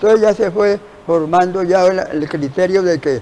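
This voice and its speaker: Amid noticeable background noise, a man speaks at a moderate pace and high pitch with ordinary pitch variation. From Colombia. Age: 80s+. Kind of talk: interview answer.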